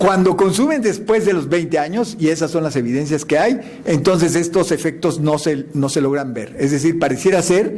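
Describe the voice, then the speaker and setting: With noticeable background noise and audible room echo, a man talks at a moderate pace in a high pitch. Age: 60s. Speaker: scientist giving a lecture. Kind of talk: answering audience question; lecture.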